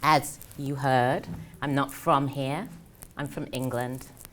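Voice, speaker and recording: Speaking at a fairly slow pace, a woman with an English accent has a very deep, low pitch and fairly even intonation. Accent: British (English). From English Midlands (Birmingham). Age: 30s. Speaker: career coach. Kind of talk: motivational talk. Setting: stage with audience.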